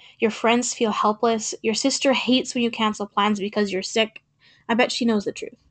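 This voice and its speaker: Here is an unremarkable speaking voice: a woman with a fairly high pitch at a moderate pace. The sound is dry and close with no echo, over a quiet background. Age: 20s. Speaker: podcast host, sobriety advocate. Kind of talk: reading own poem aloud.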